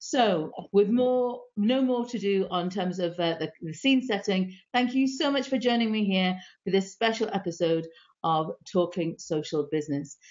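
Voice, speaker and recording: Her intonation lively and her pitch medium, a woman speaks at a moderate pace. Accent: British. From UK. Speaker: live stream host. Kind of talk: live stream interview.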